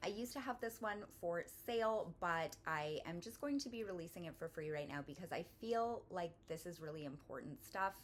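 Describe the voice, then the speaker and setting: A woman speaking at a fairly quick pace, her pitch swinging very widely. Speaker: author and online magic and wellness teacher. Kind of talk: online class lecture. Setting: live online class. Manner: fast; casual, with many fillers.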